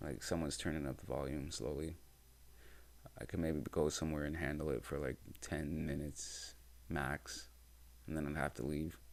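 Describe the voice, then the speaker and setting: A man's very deep, low voice with vocal fry, fairly even intonation, a moderate pace and long, frequent pauses. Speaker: podcast host and musician. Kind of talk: casual monologue. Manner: naturally loud.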